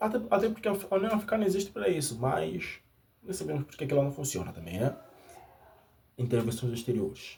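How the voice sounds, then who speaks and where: A man's fairly quick delivery with vocal fry and very wide pitch swings. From Angola. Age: 20s. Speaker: YouTuber. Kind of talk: unscripted monologue. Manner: halting.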